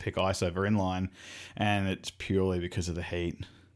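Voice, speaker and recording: Monotone, flat speech at a fairly quick pace with an Australian accent, on a very clean recording with a silent background. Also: man. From Brisbane, Australia. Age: 30s. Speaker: podcast host. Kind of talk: casual chat.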